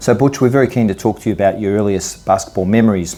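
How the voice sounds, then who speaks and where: A fairly low-pitched man's voice, dark and mellow, with an Australian accent. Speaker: interviewer and masters basketball player. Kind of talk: interview. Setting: on location at a tournament in Italy.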